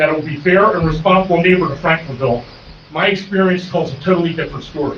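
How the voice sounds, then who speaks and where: Amid noticeable background noise and audible room echo, a man talks at a fairly quick pace in a high voice. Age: 60s. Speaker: neighboring business owner speaking at public hearing. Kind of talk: public comment testimony. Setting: township zoning board meeting.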